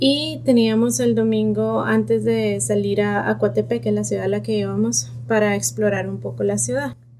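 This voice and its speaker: Noticeable background noise accompanies speech at a moderate pace with ordinary pitch variation and hardly any pauses. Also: woman, very deep, low pitch for a woman. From Colombia, Bogotá. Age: 30s. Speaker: pediatric neurologist. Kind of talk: personal testimony.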